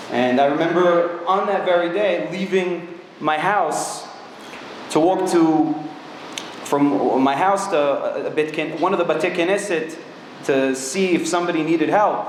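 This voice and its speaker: A man's high-pitched voice at a fairly slow pace, ordinary pitch variation and very even loudness, with audible room echo and noticeable background noise. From Israel, Ra'anana. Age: 20s. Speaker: IDF combat soldier, speaker. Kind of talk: public talk. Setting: synagogue with audience. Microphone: speaking without microphone.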